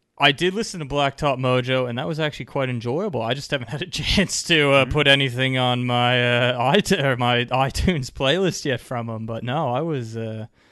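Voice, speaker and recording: Speaking at a moderate pace with a Canadian accent, a man has a plain, everyday voice with medium pitch and ordinary pitch variation. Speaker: podcast co-host, beer reviewer. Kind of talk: casual chat.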